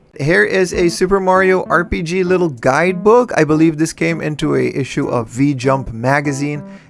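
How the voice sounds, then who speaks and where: A man with a non-native accent speaks at a fairly high pitch and a moderate pace, with hardly any pauses. His tone is animated and his intonation lively, with music in the background. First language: not English. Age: 30s. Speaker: retro game collector vlogger. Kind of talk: casual vlog narration.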